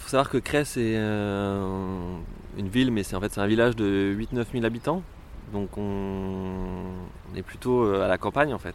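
A man speaks at a fairly low pitch and a very slow pace. His intonation stays fairly even. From rural France. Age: 30s. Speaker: pride march organiser. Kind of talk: interview testimony. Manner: hesitant, many fillers.

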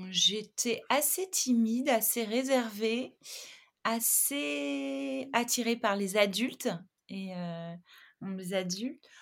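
On a very clean recording with a silent background, a woman speaks at a very slow pace with a fairly high pitch and very wide pitch swings. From southern France, Montpellier. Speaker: art director and magazine founder. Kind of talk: interview conversation. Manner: hesitant, many fillers.

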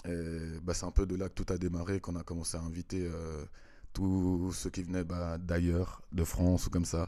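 A man speaks in a very deep, low voice with a dark, mellow tone and flat, monotone intonation at a moderate pace, on a very clean recording with a silent background. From Switzerland, Vevey (French-speaking). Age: 30s. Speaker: dancer and choreographer. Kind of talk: casual interview.

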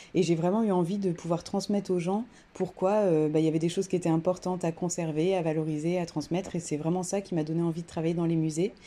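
Speaking at a very fast pace, a woman has a dark, mellow tone, fairly low pitch, monotone, flat intonation and very even loudness. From France, Creuse. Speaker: museum cultural mediator. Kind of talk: interview.

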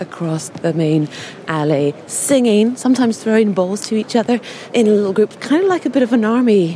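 A woman talks at a moderate pace with lively intonation. There is noticeable background noise. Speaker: podcast host and on-site reporter. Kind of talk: on-location reporting and vox-pop interviews. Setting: outdoors at tennis tournament grounds.

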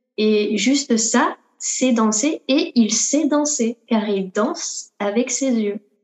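At a very slow pace, a woman speaks with a fairly high pitch and ordinary pitch variation. Her loudness stays very even. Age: 20s. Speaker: dancer. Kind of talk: interview.

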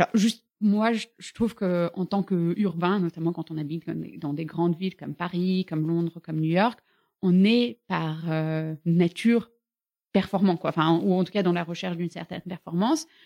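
The recording is very clean, with a silent background and a dry, close sound with no echo. A woman talks at a moderate pace in a fairly low pitch with a dark, mellow tone and ordinary pitch variation. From Bulgaria. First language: Bulgarian (speaking French). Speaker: fitness studio founder. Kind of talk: casual interview. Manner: hesitant, many fillers.

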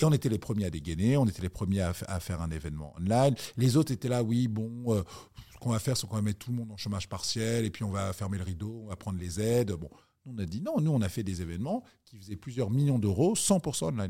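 In a very clean recording with a silent background, a man talks at a very fast pace with lively intonation, fairly low pitch and a dark, mellow tone. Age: 40s. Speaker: entrepreneur. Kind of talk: interview.

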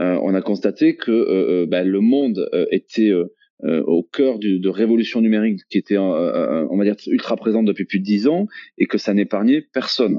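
A man speaks at a moderate pace, his loudness very even throughout. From France, Toulouse. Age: 40s. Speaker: entrepreneur, training company CEO. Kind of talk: podcast interview.

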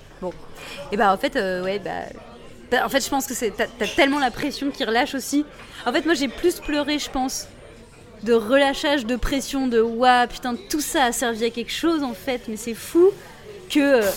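A woman's high voice at a moderate pace, with ordinary pitch variation, long, frequent pauses and noticeable background noise. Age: young. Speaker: ventriloquist. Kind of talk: interview. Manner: casual and animated.

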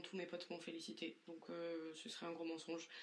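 This woman talks at a moderate pace with a fairly low pitch and fairly even intonation. Room echo is audible. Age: 20s. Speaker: solo podcaster. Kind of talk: introspective solo monologue. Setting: bedroom at home.

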